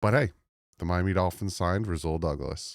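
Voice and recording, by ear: This put-on character voice is hoarse and moves at a fairly quick pace. The recording is very clean, with a silent background. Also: man.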